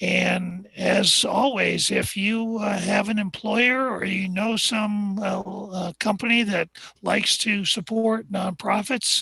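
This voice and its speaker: Very slow speech amid noticeable background noise. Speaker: astronomer. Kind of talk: live stream talk. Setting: observation deck. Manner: hesitant, many fillers.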